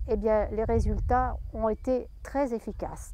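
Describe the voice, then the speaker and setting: The woman's tone is dark and mellow. The sound is dry and close, with no echo. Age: 70s. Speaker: cancer patient. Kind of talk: testimony. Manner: halting.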